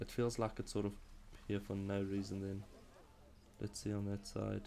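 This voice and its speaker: In a South African accent, a man speaks at a moderate pace with a fairly low pitch, a dark, mellow tone and a flat monotone. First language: Afrikaans. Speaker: video game streamer. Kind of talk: live game stream commentary. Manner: halting.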